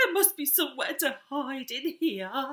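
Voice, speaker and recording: A woman puts on a character voice at a high pitch. She talks at a moderate pace. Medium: read story. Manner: nervous, fretful.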